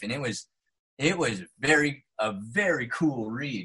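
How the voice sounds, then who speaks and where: With a General American accent, a man sounds enthusiastic, his tone bright and sharp and his pitch swinging very widely. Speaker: actor. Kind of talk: podcast interview answer. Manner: casual, enthusiastic.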